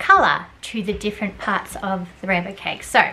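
A woman speaking at a moderate pace over noticeable background noise. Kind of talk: tutorial. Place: kitchen. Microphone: phone near.

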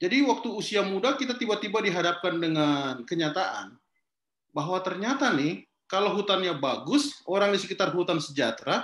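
Audible room echo surrounds a man speaking with a Sulawesi accent. His pitch is high, his intonation lively, and his pace fairly quick. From Kendari, Southeast Sulawesi, Indonesia; Southeast Sulawesi, Indonesia. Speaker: forest activist and social entrepreneur; guest. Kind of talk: online talk interview. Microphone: video call.

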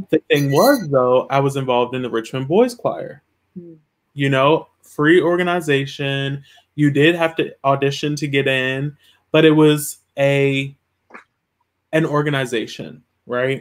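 Speaking at a fairly slow pace with fairly even intonation, a man leaves long, frequent pauses. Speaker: web series host. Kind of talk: casual chat. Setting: video call. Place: home room. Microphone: video call.

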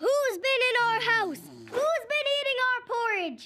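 A woman speaks loudly in a put-on character voice with an extremely high pitch. Her pace is fairly slow. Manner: gruff, booming.

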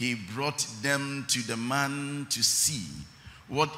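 A man speaks with a bright, sharp tone and ordinary pitch variation. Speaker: preacher. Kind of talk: sermon. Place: church. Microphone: handheld.

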